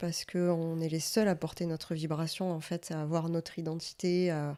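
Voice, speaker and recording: A woman at a moderate pace in a very clean recording with a silent background. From Provence, Marseille area. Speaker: podcast co-host, coach. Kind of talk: interview.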